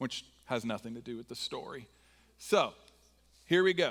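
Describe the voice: Delivered in an American accent, the voice has a fairly bright tone. The pace is moderate, with ordinary pitch variation. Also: man.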